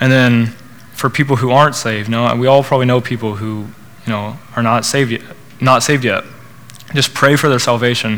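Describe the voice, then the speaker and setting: A man with an American accent talks at a fairly quick pace in a medium pitch, his intonation fairly even, broken by long, frequent pauses. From Oklahoma, Norman. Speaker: student speaker at church college group. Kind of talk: testimony and sermon. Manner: hesitant, many fillers.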